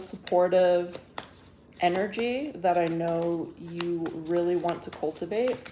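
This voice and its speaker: Soft-spoken and fairly low in pitch, a woman speaks at a very slow pace. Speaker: tarot reader. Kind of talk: tarot reading. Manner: halting.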